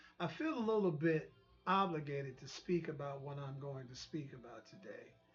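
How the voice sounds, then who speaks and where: Speech comes at a moderate pace with music in the background and audible room echo. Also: man. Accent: American. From US South. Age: 60s. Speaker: online talk show host. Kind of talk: monologue commentary. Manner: halting, with frequent repetitions.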